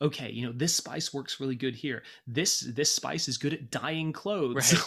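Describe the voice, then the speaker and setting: A man's animated, medium-pitched voice with ordinary pitch variation at a moderate pace, on a very clean recording with a silent background. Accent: American. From Britain. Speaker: podcast host. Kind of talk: casual chat.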